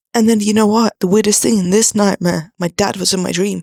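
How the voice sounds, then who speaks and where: A quiet voice in a dry, close sound with no echo. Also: woman. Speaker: vlogger. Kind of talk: personal vlog confession. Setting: at home at night, sitting on floor. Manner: quiet, hushed.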